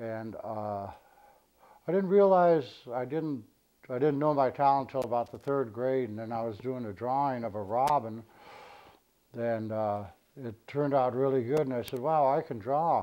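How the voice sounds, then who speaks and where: This man talks at a moderate pace with a medium pitch and an American accent. His tone is dark and mellow, with ordinary pitch variation and long, frequent pauses. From Southern California. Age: 60s. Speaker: visual artist. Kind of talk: interview testimony. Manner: halting, many fillers.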